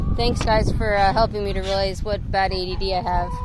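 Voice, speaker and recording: A woman with an American accent talks at a fairly quick pace and a medium pitch. Noticeable background noise is present. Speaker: YouTuber. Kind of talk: casual vlog commentary. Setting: outdoors collecting eggs. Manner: fast; hesitant, many fillers.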